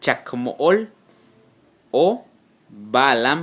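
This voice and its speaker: A man's voice with very wide pitch swings. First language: Yucatec Maya (speaking Spanish). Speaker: Maya language teacher. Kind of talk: tutorial. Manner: slow, repeating words for learners.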